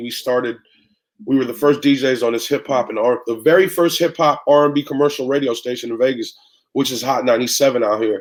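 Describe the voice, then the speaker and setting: Speaking at a very fast pace, a man with an American accent uses a medium pitch. His pitch variation is ordinary. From San Francisco Bay Area, California. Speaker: radio and club DJ. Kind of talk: interview answer.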